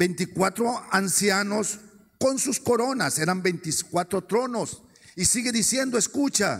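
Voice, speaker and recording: A man with a high pitch and ordinary pitch variation speaks at a fairly slow pace. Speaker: preacher. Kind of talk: sermon. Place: stage. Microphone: handheld.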